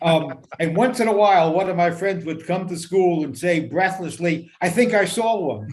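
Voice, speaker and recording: A man's high-pitched voice in a New York accent, at a moderate pace with hardly any pauses and ordinary pitch variation, amid noticeable background noise and audible room echo. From New York City, Queens. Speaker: radio talk show host. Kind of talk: casual chat.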